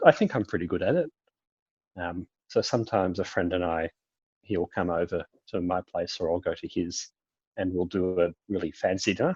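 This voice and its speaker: At a moderate pace with long, frequent pauses, a speaker with an Australian accent is heard in a dry, close sound with no echo against a quiet background. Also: man. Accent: Australian, sounds British to Brazilians. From Australia, Melbourne. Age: 20s. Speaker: university student. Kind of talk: casual chat. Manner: hesitant, many ums.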